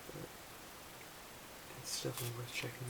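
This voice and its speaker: Against noticeable background noise, a man is soft-spoken. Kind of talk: ASMR roleplay, music store clerk. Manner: hesitant, some stumbling.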